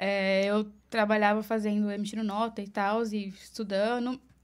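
This woman has a Paulista accent and a monotone, flat intonation. The recording is very clean against a silent background. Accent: Paulista Brazilian Portuguese. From Brazil, Mogi das Cruzes (Greater São Paulo). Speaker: makeup artist. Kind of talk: casual interview.

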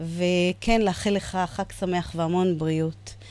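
This is a woman's voice of medium pitch. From Israel, Yemenite family. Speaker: radio host. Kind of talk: radio show with phone interview. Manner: hesitant, many fillers.

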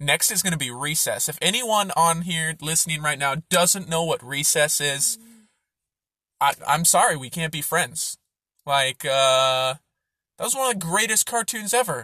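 Against a silent background on a very clean recording, a man with a plain, everyday voice and a fairly high pitch speaks at a moderate pace with lively intonation, the sound dry and close with no echo. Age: 20s. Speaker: podcast host. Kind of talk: casual monologue. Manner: casual, filler-heavy.

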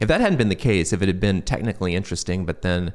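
A man with an American accent and a very deep, low pitch is heard on a very clean recording with a silent background. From US Midwest, Michigan (Troy). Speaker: sci-fi writer. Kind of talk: interview conversation.

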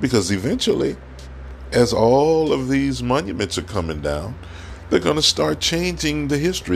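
With vocal fry and very wide pitch swings, a man talks at a moderate pace. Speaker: podcast host. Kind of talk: opinion monologue. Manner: frequent filler words and hesitations.

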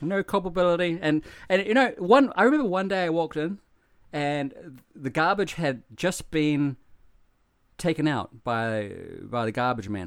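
An animated man with a New Zealand accent, fairly high-pitched, his pitch swinging very widely. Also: moderate pace, very clean recording, silent background. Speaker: podcast co-host, foreigner living in Japan. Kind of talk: casual chat. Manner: animated, joking, swears casually.

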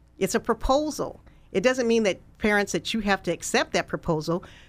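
A woman with an American accent speaks at medium pitch and a moderate pace in a plain, everyday voice. Her intonation is lively, and the recording is very clean with a silent background. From California (US West). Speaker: nonprofit founder and education advocate. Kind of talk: interview.

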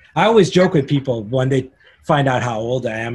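Speaking at a fairly quick pace, a man uses a medium pitch. His voice is somewhat breathy. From Canada. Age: 50s. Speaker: concert photographer. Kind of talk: casual interview.

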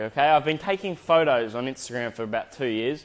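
In an Australian accent, a man talks in an animated tone at a very fast pace with ordinary pitch variation against a quiet background. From Australia, Adelaide. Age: 20s. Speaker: video editor and podcaster. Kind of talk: casual monologue.

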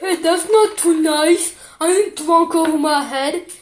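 An extremely high-pitched, put-on character voice at a fairly slow pace. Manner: indignant.

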